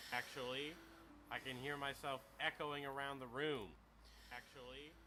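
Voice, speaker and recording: A man speaks loudly in a fairly high pitch with a bright, sharp tone. His intonation is monotone and flat at a moderate pace. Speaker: video game streamer. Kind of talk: casual livestream chat. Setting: livestream in a room with echo. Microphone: too quiet, gain turned up.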